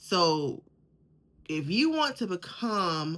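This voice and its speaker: A woman speaks at a medium pitch. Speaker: podcast host. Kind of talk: faith-based motivational talk. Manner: repeats words, halting restarts.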